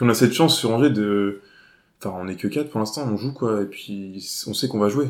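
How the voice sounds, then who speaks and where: With an ordinary speaking voice, a man talks at a fairly quick pace, his fairly low pitch showing ordinary variation. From Jura, France, then near Cholet from age 11-12. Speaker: stand-up comedian. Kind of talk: casual chat.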